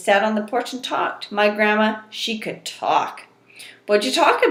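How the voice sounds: This is a natural reading voice. It is heard in two short sentences.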